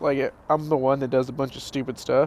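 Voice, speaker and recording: A quiet man speaks with a fairly high pitch. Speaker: podcast co-host. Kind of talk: casual chat.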